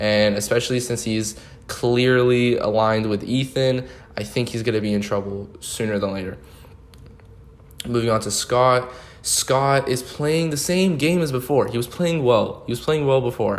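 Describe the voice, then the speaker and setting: A man talks in a medium pitch that varies in an ordinary way, while noticeable background noise carries on behind him. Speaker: online game show host. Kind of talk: solo commentary video. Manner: fast; casual, filler-heavy.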